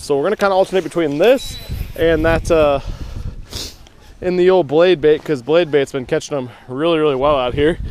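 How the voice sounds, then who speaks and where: A fairly quick pace, dry sound with no echo, and light background noise. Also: man, ordinary pitch variation. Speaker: angler vlogger. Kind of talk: casual vlog chat. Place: boat. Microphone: helmet.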